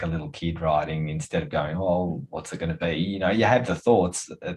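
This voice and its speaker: At a fairly quick pace, the voice sounds somewhat breathy. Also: man. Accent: Australian. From Australia. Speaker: podcast host and wellness coach. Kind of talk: casual interview chat.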